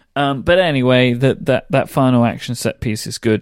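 A man speaks with a British accent in a very clean recording with a silent background. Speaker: podcast co-host. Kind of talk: casual chat.

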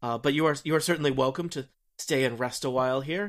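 Against a very clean, silent background, a man speaks at a moderate pace in an unremarkable speaking voice, with medium pitch and ordinary pitch variation. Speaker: game master. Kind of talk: tabletop roleplaying game podcast.

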